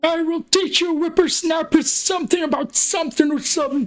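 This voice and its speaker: In a put-on character voice with a high pitch, the speaker talks at a fairly quick pace. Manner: gruff, admonishing.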